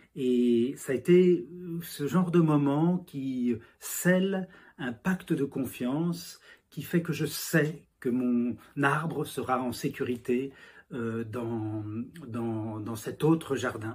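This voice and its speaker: A somewhat breathy man's voice, fairly high in pitch with ordinary pitch variation, at a very slow pace. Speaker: novelist. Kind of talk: interview monologue. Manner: halting, many fillers and repetitions.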